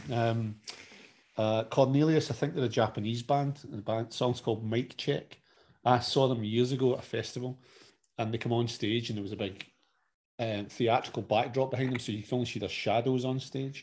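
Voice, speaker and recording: This man has a normal speaking voice with a medium pitch. He talks at a moderate pace with fairly even intonation. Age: 40s. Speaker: podcast co-host, father. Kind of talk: casual chat.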